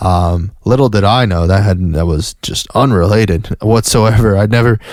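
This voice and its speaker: Fairly low-pitched male voice with an American accent. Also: ordinary pitch variation, moderate pace. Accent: Southern US accent, comes out at times. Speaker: podcast host. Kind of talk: casual monologue. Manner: halting, many restarts and fillers.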